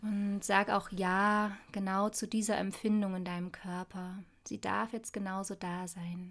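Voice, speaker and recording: A woman with a medium-pitched voice speaks very slowly in a flat monotone. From Saxony, Dresden. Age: 30s. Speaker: spiritual coach. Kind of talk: guided meditation.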